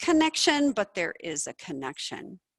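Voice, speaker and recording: A woman speaks with passion at a fairly slow pace, her pitch swinging very widely. The sound is dry and close, with no echo. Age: 60s. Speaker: doctor and researcher presenting a study. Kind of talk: lecture. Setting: presentation room with audience, also streamed online. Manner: passionate.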